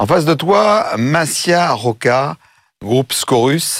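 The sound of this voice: Speaking slowly, a man uses a fairly high pitch, a fairly bright tone and lively intonation.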